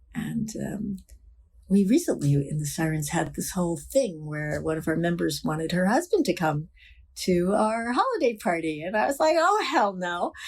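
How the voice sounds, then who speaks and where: A woman with an American accent speaks at a moderate pace in a fairly low, somewhat breathy voice with lively intonation. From New York City. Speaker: motorcycle club co-founder. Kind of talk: interview.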